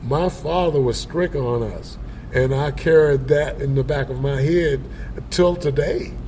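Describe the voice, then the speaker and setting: Through noticeable background noise and audible room echo, a man with an American accent speaks at a fairly slow pace. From US South, Upstate South Carolina. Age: 70s. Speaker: blues musician. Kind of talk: interview. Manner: halting, many fillers.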